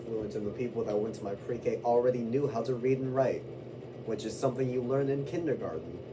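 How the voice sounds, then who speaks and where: Over noticeable background noise and audible room echo, a man at medium pitch talks at a fairly quick pace. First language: Spanish. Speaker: vlogger. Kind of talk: casual rant to camera. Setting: indoors away from own room. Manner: rambling with fillers.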